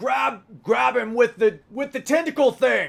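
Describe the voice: A gravelly, put-on character voice at a fairly slow pace. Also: man.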